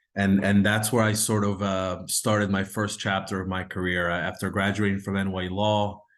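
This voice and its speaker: A man with an Italian accent speaks in a monotone, flat intonation. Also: fairly low pitch for a man, moderate pace, hardly any pauses. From Ohio, US Midwest (Akron). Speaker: lawyer. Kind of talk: interview. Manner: halting.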